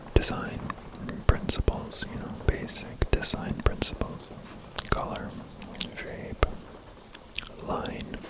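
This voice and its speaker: Over noticeable background noise, the whispering comes at a very slow pace. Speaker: ASMR creator. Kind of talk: ASMR photobook review. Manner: whispered; slow, hesitant.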